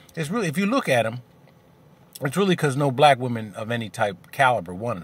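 A man at a very fast pace, somewhat breathy, with very wide pitch swings and big swings in loudness, in a dry sound with no echo. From US. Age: 40s. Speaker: video blogger. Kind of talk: angry rant. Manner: fired-up, indignant, blunt and confrontational. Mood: opinionated, candid. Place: car. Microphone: phone near.

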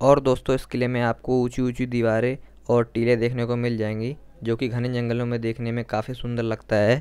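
Monotone, flat intonation marks this man's speech. His pace is fairly slow. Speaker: travel vlogger. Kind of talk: casual vlog chat, tour guide style. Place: open country. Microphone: phone near.

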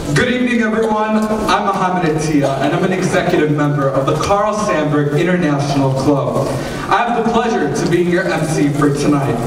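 A man's fairly brisk speech comes through with noticeable background noise and audible echo from the room. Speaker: student MC. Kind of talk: event welcome speech. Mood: formal, welcoming. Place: stage.

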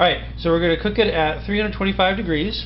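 With noticeable background noise behind him, a man speaks at a fairly quick pace. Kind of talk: casual cooking tutorial. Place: kitchen. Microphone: phone near.

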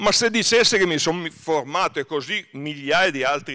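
A man talks at a moderate pace in a bright, sharp tone. His pitch varies in an ordinary way, and the background is quiet. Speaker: author and historian. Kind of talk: book talk at festival. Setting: stage with audience. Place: stage. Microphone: podium.

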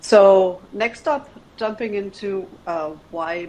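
There is light background noise as a woman speaks with ordinary pitch variation. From Germany (Berlin). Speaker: venture capital investor. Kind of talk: presentation. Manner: hesitant, many filler words. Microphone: video call.

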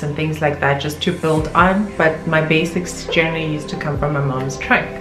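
Over clear background music, a woman speaks at a moderate pace in a very deep, low voice with monotone, flat intonation. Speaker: vlogger. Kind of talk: casual vlog chat. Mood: reflective, a bit bittersweet. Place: home room.

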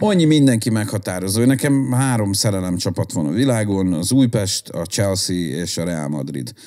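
A man with a fairly low, dark, mellow voice speaks at a moderate pace with very wide pitch swings and hardly any pauses, over a quiet background. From Budapest, Hungary. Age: 40s. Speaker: hardcore musician and concert organizer; podcast guest. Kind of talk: casual chat. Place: home room. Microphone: studio mic.

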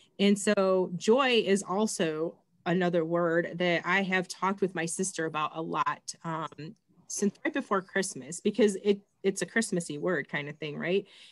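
A woman's medium-pitched voice with an American accent, ordinary pitch variation, and a moderate pace against a quiet background. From Michigan. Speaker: school librarian; host of group talk. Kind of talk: casual chat. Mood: warm, chatty. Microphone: video call.

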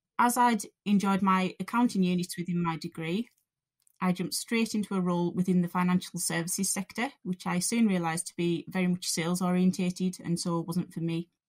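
With a Cumbrian accent, a woman sounds somewhat breathy at a fairly quick pace, with fairly even intonation, dry and close with no echo. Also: medium pitch for a woman. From Cumbria, northern England. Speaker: college lecturer. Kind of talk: scripted narration.

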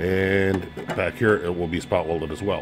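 The speaker moves at a moderate pace. Faint music plays in the background. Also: man. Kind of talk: tutorial. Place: garage. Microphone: phone near.

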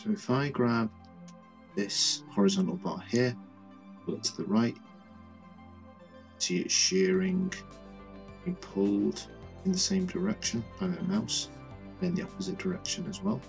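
Over music in the background, a high-pitched man speaks at a moderate pace with very wide pitch swings and long, frequent pauses. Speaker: Blender tutorial creator. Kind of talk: software tutorial narration.

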